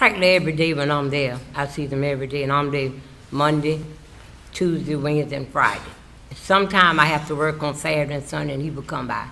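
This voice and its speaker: A woman with a South Carolina accent and a very deep, low pitch, talking at a very fast pace amid audible room echo. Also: fairly even intonation. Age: 70s. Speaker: witness, housekeeper. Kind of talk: testimony. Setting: courtroom, witness stand.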